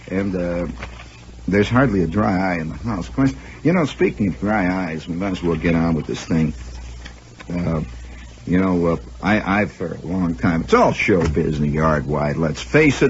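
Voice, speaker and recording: A man with a very deep, low pitch speaks with long, frequent pauses over noticeable background noise. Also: moderate pace. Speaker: radio host and storyteller. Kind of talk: comedic radio monologue. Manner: wry, sardonic, rambling.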